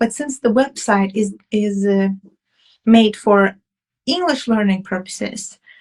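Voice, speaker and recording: A somewhat breathy woman's voice, fairly high in pitch with ordinary pitch variation, at a fairly slow pace with long, frequent pauses. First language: Russian. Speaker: romance author. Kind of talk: interview. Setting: live stream interview. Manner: halting, with repeated words.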